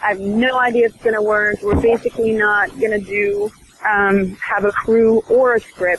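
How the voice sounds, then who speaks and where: Fairly slow speech with noticeable background noise. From Sweden. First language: Swedish. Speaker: actress. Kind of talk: interview.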